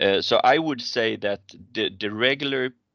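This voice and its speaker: Against a quiet background, a man with a fairly low pitch speaks fairly slowly in a bright, sharp tone with lively intonation. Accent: Swedish. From Sweden. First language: Swedish. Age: 40s. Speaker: fund manager. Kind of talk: interview.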